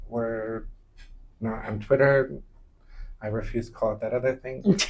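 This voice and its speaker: A man's somewhat breathy voice with an American accent, at a moderate pace. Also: medium pitch for a man, ordinary pitch variation. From United States. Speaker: podcast co-host. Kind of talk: casual chat.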